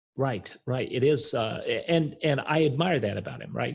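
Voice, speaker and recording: The voice is somewhat breathy. It is a man speaking with an American accent. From US South, Arkansas. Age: 60s. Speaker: author and coach. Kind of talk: podcast interview.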